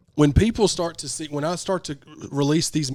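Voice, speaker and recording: Speaking with a Southern US accent, a man has a fairly high pitch and an animated tone. His pace is fairly quick, and his pitch varies in an ordinary way. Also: very clean recording, silent background. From US South. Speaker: podcast host and rapper. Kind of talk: casual chat.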